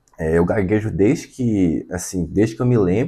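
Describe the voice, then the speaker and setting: A man speaks at a moderate pace with a very deep, low pitch and a dark, mellow tone. His intonation is lively, and the background is quiet. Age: 20s. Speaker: vlogger. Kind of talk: personal testimony to camera. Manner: halting.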